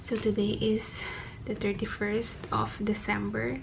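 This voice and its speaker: A woman whispers at a fairly slow pace. Audible room echo surrounds her voice. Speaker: vlogger. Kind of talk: casual vlog talk. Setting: hotel room. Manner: whispering.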